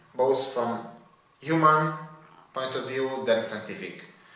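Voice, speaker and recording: The man talks at a fairly slow pace with an Italian accent and medium pitch. Audible room echo surrounds his voice. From Italy. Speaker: PhD student. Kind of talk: testimony. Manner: halting. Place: office.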